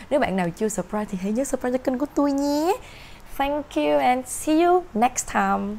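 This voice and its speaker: A woman's high voice with very wide pitch swings. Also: moderate pace. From Vietnam. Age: 30s. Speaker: tarot reader. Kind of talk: tarot reading monologue. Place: home room. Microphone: camera far.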